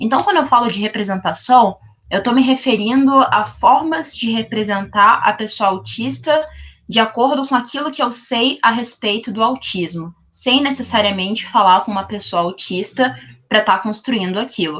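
A woman with a plain, everyday voice speaks at a moderate pace and a fairly high pitch, with lively intonation. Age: 20s. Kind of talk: podcast interview.

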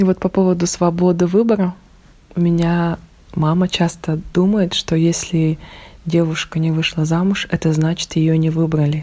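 At a moderate pace, a woman speaks in a fairly low pitch with a dark, mellow tone, flat monotone intonation, and very even loudness. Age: 30s. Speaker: stylist and university employee. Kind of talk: interview.

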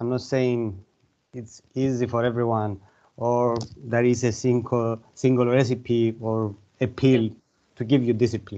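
A man with a Cypriot accent at a medium pitch, dark and mellow in tone, monotone and flat, fairly slow with long, frequent pauses. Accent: Greek Cypriot. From Cyprus (Larnaca). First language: Greek. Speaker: mind and body coach and author. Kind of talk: interview.

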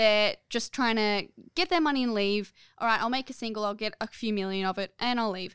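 Heard with a dry, close sound and no echo, the voice carries an Australian accent, ordinary pitch variation and a fairly quick pace. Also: woman, fairly high pitch for a woman, very clean recording, silent background. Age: 20s. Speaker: podcast co-host. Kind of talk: casual chat. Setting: studio.

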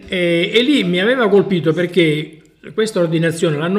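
A high-pitched man's voice with ordinary pitch variation and noticeable background noise. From Sicily. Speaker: traveller and hiker. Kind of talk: casual chat. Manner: halting.

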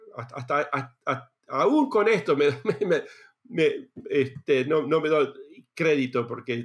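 A man with a Rioplatense accent speaks at a fairly slow pace and a fairly high pitch. His pitch varies in an ordinary way, in a very clean recording with a silent background. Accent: Argentine Spanish (rioplatense). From Argentina. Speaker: space engineer. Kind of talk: interview. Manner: halting, many repetitions and fillers.

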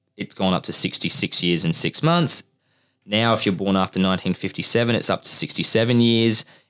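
The recording is very clean, with a silent background. A man's voice sounds dry and close, without any echo. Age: 20s. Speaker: recruitment podcast host. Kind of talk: casual chat.

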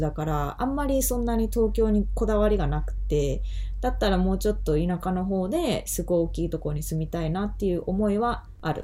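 A woman talks at a very fast pace. Audible room echo and noticeable background noise surround her. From Japan. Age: 30s. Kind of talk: casual chat.

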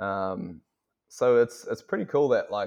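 Over a quiet background, a man with a New Zealand accent talks at a moderate pace. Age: 20s. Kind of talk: casual chat. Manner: halting.

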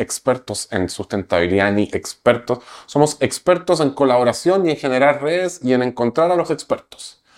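A man's medium-pitched voice with very wide pitch swings at a moderate pace, on a very clean recording with a silent background. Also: hardly any pauses. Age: 40s. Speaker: entrepreneur. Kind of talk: interview.

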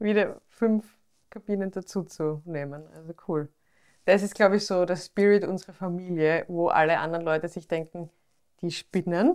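With an Austrian accent, a woman speaks at a moderate pace in a fairly low pitch, on a very clean recording with a silent background. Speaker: podcast host and pharmacist. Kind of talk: interview. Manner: animated.

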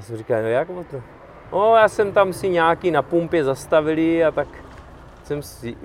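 Against noticeable background noise, a man's pitch shows ordinary variation. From Czech Republic. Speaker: veteran rock climber. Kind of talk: casual interview.

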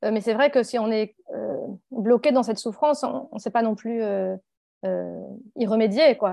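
A woman's fairly high, dark and mellow voice at a very slow pace, with ordinary pitch variation. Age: 40s. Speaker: author and activist. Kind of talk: interview. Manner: halting.

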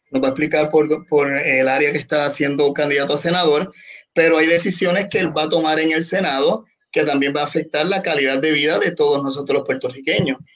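A man with a plain, everyday voice and a fairly high pitch talks at a fairly quick pace. His loudness stays very even. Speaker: podcast host and salesman. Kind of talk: casual discussion. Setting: Facebook live stream.

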